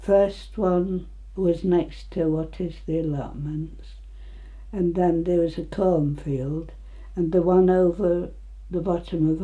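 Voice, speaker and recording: Very slow speech in an East Midlands accent, with audible room echo. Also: woman. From England, Nottinghamshire (Retford). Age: 90s. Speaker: elderly local resident. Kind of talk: oral history interview.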